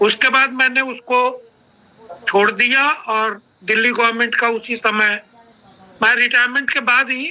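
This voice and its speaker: A man raises and projects his voice at an extremely high pitch. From India, Bihar (Sitamarhi district). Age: 60s. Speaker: retired army officer, network marketing speaker. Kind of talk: online training interview, personal story.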